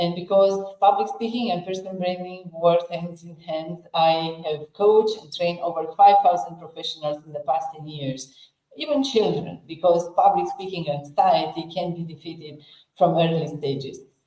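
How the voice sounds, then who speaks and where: A woman with a Romanian accent speaks at a fairly low pitch and a moderate pace, with ordinary pitch variation and big swings in loudness. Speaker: personal branding strategist and public speaking coach. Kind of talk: interview self-introduction.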